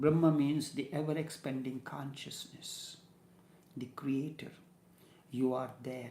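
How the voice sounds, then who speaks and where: Very slow and somewhat breathy, the voice has a dark, mellow tone, monotone, flat intonation and long, frequent pauses. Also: man, fairly high pitch for a man. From India. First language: Hindi. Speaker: spiritual teacher. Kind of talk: spiritual discourse. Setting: studio.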